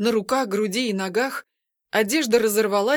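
Someone is reading aloud in a natural voice, with a quiet background.

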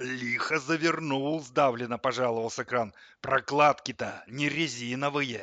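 The pitch varies in an ordinary way. It is an unforced reading voice.

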